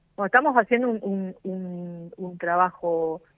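A woman speaks in a plain, everyday voice. Her medium pitch holds fairly even intonation. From Argentina, Moreno (Buenos Aires province). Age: 40s. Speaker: mayor, politician. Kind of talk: radio interview.

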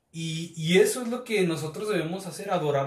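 The speech moves at a moderate tempo with ordinary pitch movement, and noticeable background noise sits behind it. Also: man. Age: 30s. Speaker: church youth leader. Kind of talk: casual chat.

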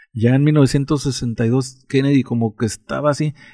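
A man speaks with a dark, mellow tone at medium pitch. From Mexico. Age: 60s. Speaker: interviewee recounting childhood. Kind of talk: casual chat.

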